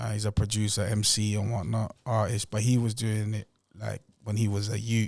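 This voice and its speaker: This man speaks with a London accent at a fairly low pitch and a moderate pace. His intonation is monotone and flat, and the recording is very clean with a silent background. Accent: London multicultural English. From Angola and Portugal. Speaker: rapper. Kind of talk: casual chat.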